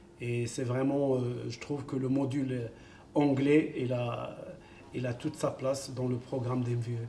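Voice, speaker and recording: A man with an Arabic accent speaks at a fairly slow pace in a medium pitch, his intonation flat and monotone. Noticeable background noise and audible room echo fill the recording. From Morocco (Kenitra). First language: Arabic (speaking French). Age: 50s. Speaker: football coach. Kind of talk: interview. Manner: hesitant, many fillers.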